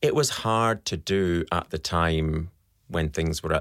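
A man's very deep, low voice with a Scottish accent and ordinary pitch variation, in a dry, close sound with no echo and a very clean recording against a silent background. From Scotland. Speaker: fertility specialist doctor. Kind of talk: interview.

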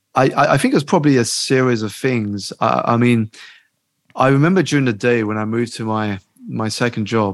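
This man speaks at a medium pitch on a very clean recording with a silent background. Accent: British. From UK, Chinese family. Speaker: life coach and author. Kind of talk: interview.

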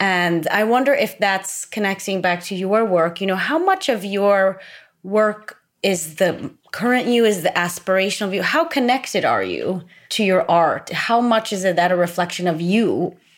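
Using an ordinary speaking voice, a woman talks at a moderate pace with a medium pitch and ordinary pitch variation. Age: 30s. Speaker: podcast host. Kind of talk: interview. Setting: studio.

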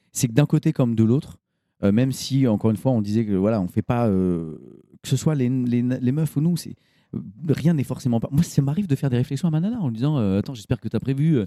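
A man speaks in a dark, mellow tone. The sound is dry and close, with no echo. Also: medium pitch for a man, lively intonation, fairly quick pace, very clean recording, silent background. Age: 40s. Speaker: co-founder of a fathers' media channel. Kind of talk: casual chat.

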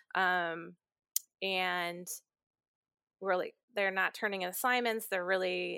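In an Inland North accent, a woman talks at a moderate pace with a medium pitch, a bright, sharp tone and fairly even intonation. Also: dry, close sound with no echo, very clean recording, silent background. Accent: US Midwest (Inland North). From Ohio, near Cleveland. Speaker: college dean of students. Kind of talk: casual interview conversation.

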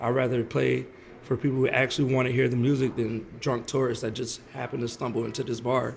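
Vocal fry from a man at medium pitch, fairly quick in pace, with monotone, flat intonation. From New Orleans. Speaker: saxophone player. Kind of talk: interview. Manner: casual.

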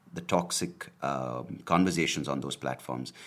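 There is vocal fry in this man's voice. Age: 30s. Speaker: podcaster. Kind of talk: casual monologue. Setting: home video recording. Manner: hesitant, many fillers.

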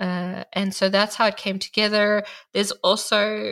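A woman with a South African accent talks at a fairly slow pace in a monotone, flat intonation. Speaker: artist and art journaling teacher. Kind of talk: podcast interview.

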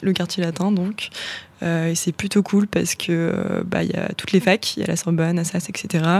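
Noticeable background noise sits behind a woman speaking at a medium pitch. Her intonation is monotone and flat, and her pace is moderate. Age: 20s. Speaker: young political activist. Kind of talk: panel discussion.

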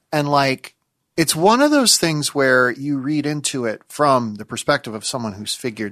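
A man's normal speaking voice at a medium pitch and moderate pace, with lively intonation. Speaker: critic and writer. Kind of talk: casual chat.

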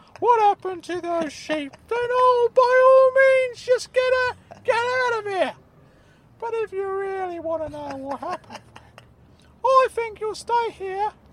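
A woman puts on a squeaky character voice, pitched extremely high and delivered at a fairly slow pace. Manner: threatening.

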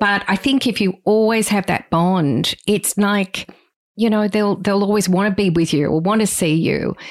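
With an Australian accent, a woman speaks at a moderate pace in a medium pitch, with ordinary pitch variation and very even loudness, in a very clean recording with a silent background. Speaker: podcast host. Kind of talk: casual chat.

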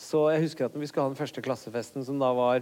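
Fairly even intonation marks this man's medium-pitched voice, which has a dark, mellow tone. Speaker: comedian. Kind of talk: live podcast interview.

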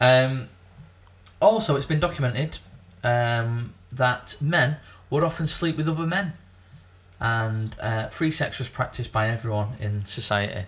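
Somewhat breathy speech at a fairly slow pace, with lively intonation and long, frequent pauses. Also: man, medium pitch for a man. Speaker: podcast co-host. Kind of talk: casual banter podcast chat.

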